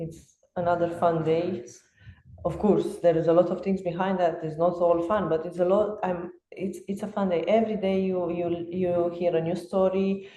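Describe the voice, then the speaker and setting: A woman speaks at a moderate pace in a fairly low pitch with monotone, flat intonation. Audible room echo surrounds her voice. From Romania. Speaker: fitness coach. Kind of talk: podcast interview.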